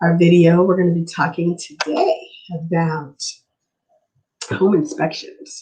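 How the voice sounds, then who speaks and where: A woman speaks very slowly in a fairly low, somewhat breathy voice with a dark, mellow tone and monotone, flat intonation. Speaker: livestream host on home buying. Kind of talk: live stream talk. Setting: live stream.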